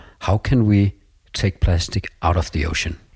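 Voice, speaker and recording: A man's very deep, low, somewhat breathy voice shows ordinary pitch variation in a very clean, dry, close recording with no echo and a silent background. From Denmark (Copenhagen). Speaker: school vice principal. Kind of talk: interview conversation. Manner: halting, frequent repetitions.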